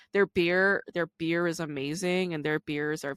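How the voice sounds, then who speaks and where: Recorded dry and close with no echo, a woman with an American accent speaks at a moderate pace in a very deep, low voice with an animated tone. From New York. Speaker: podcast host and stand-up comedian. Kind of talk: casual interview chat. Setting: home recording from her couch. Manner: animated, casual, swears.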